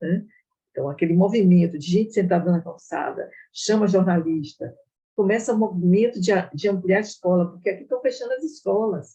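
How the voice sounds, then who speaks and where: A woman speaks at a fairly quick pace in a dark, mellow, somewhat breathy voice of medium pitch with ordinary pitch variation. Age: 70s. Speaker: retired nutrition professor. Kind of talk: online talk discussion.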